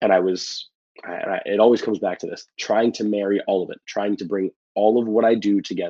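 A man speaks at a moderate pace with a New York accent. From New York City, the Bronx. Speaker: pro wrestler. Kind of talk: casual chat.

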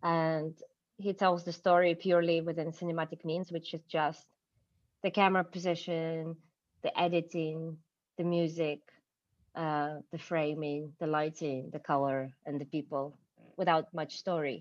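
A woman with a Ukrainian accent speaks at a moderate pace and a fairly low pitch, with long, frequent pauses. Her intonation is monotone and flat, and the background is quiet. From Ukraine, Kyiv. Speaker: cinematographer. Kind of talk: interview conversation.

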